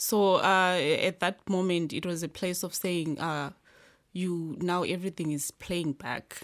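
A woman speaks at a fairly slow pace with fairly even intonation. The recording is very clean, with a silent background. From Zimbabwe. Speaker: asylum seeker. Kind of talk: interview. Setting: studio.

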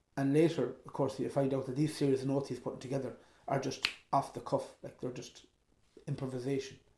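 At a fairly quick pace, a man with an Irish accent speaks in a monotone, flat intonation at medium pitch, sounding somewhat breathy. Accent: Mayo Irish. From Ireland, County Mayo. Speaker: traditional musician and composer. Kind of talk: interview.

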